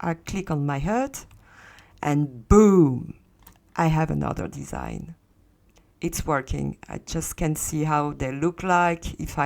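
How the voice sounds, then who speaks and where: A woman with a strong French accent has a very deep, low pitch. She speaks at a fairly slow pace with fairly even intonation. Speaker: Second Life content tutorial creator. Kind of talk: tutorial. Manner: hesitant, many fillers.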